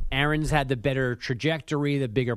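A man speaks in a normal speaking voice at a fairly high pitch. His intonation is fairly even, and the background is quiet. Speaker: sports writer. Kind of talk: casual sports banter.

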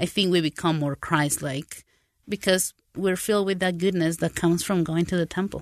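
A woman speaks with a Spanish accent in a fairly low voice. Her intonation is fairly even, her loudness very even, and the background quiet. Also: moderate pace, dry, close sound with no echo. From Paraguay and South America. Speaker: translator. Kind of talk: casual interview conversation.

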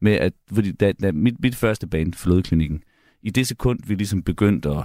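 A man speaks in an ordinary speaking voice at a moderate pace and fairly low pitch. The sound is dry and close with no echo, on a very clean recording with a silent background. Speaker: musician and music producer. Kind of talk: casual radio interview.

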